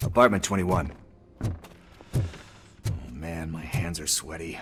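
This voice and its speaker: A man puts on a raspy character voice, very deep and low, with a nervous tone, ordinary pitch variation and a moderate pace, while background noise is clearly audible. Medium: video game. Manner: nervous, slangy, rambling.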